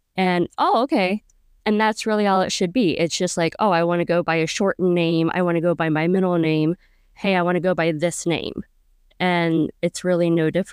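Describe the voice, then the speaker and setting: In a very clean recording with a silent background and a dry, close sound with no echo, a woman with a plain, everyday voice and fairly low pitch talks at a moderate pace, with fairly even intonation and very even loudness. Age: 40s. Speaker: podcast host. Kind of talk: casual interview.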